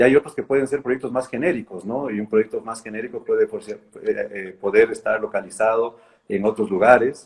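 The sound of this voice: Speaking at a fairly quick pace, a man has a fairly low pitch, fairly even intonation, a slightly husky edge and a slightly mellow tone.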